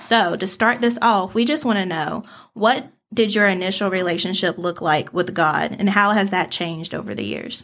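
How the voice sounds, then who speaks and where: A plain, everyday voice from a woman, medium in pitch, with ordinary pitch variation and a moderate pace. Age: 20s. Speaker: podcast co-host. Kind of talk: casual chat.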